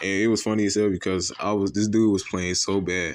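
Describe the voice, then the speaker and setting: A very fast-paced male voice, fairly low in pitch. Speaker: gaming video creator. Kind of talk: casual gameplay commentary. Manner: animated; halting, self-described stuttering today.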